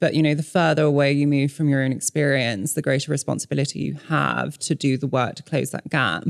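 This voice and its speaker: Hardly pausing, a woman speaks fairly quickly at a very deep, low pitch with vocal fry and fairly even intonation. The recording is very clean, with a silent background. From Hong Kong and Malaysia. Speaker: author. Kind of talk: casual chat.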